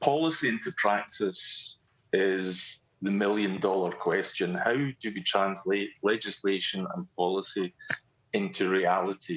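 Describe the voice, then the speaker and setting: Here a man speaks with a Scottish accent. His pitch is fairly low and his pace fairly slow. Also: ordinary pitch variation. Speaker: police sergeant. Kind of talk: panel talk.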